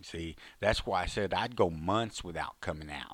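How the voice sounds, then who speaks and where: A man with a Texan accent is heard on a very clean recording over a silent background. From Texas, Fort Worth. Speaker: former prisoner and author. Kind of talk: storytelling monologue. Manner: halting.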